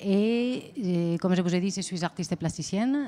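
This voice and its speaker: In a Spanish accent, a woman with medium pitch and a dark, mellow tone speaks at a fairly slow pace. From Spain. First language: Spanish (speaking French). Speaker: visual artist. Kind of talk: interview. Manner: hesitant, many fillers.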